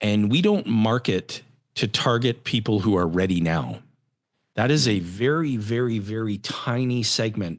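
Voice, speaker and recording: A man with a Canadian accent talks at a fairly slow pace in an unremarkable speaking voice, fairly low in pitch with ordinary pitch variation. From Canada, Edmonton, Alberta. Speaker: financial firm CEO. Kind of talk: podcast interview.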